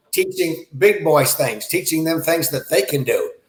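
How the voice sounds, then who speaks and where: Here is a man with a normal speaking voice and a fairly high pitch. He keeps a moderate pace. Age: 60s. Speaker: self-defense instructor. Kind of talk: interview.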